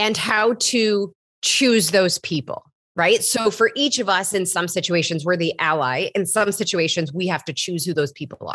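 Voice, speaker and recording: A woman speaks at a moderate pace in a medium pitch. She has an ordinary speaking voice and lively intonation. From US Midwest. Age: 30s. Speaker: health coach. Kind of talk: casual interview chat.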